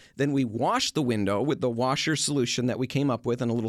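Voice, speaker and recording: A man with an American accent talks fairly quickly, with ordinary pitch variation. The recording is very clean, silent in the background, and dry and close with no echo. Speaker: radio host. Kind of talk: casual chat. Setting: studio. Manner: fast talker.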